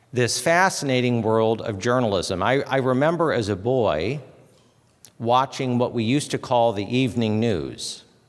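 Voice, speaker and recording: Audible room echo carries a man's medium-pitched voice with an American accent. He speaks at a moderate pace with ordinary pitch variation. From US Midwest, Fort Wayne, Indiana. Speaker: chapel speaker, former political press figure. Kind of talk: chapel talk. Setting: university chapel with audience. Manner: hesitant, many fillers.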